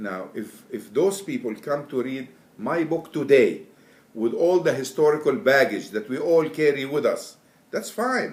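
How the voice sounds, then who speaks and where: A man with an Arabic accent speaks fairly slowly in a fairly high voice that swings very widely in pitch. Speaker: Quran translator. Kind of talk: interview. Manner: halting.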